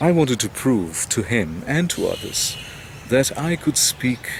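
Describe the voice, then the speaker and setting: A man's voice with very wide pitch swings, set against noticeable background noise. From India. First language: not English. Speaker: English teacher. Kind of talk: personal talk to camera.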